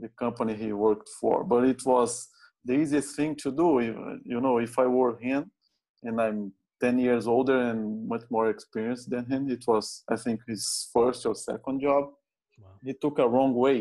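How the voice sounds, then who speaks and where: A man's medium-pitched voice with a dark, mellow tone and a Brazilian Portuguese accent. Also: very clean recording, silent background. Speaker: safety manager hosting interview. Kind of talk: casual interview conversation.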